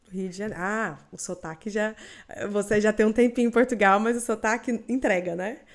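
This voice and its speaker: Recorded very cleanly against a silent background, a woman with a Goiás accent speaks at a fairly high pitch and moderate pace. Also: ordinary pitch variation. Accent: Goiás Brazilian accent, noticeable. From Goiás, Brazil. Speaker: podcast host. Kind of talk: interview.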